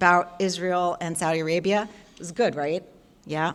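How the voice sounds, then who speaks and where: A woman speaks with an animated tone. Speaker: journalism professor and podcast co-host. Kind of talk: public lecture. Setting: luncheon forum with live audience. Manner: fast.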